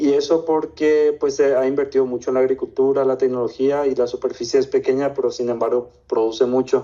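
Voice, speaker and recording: A man at a fairly quick pace, with hardly any pauses. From Paraguay. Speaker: investor. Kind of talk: interview.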